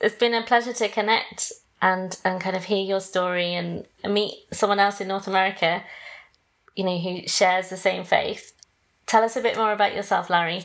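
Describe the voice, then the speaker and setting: In a British accent, a woman speaks at a medium pitch and a moderate pace with monotone, flat intonation. The recording is very clean, with a silent background. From Britain. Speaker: podcast host.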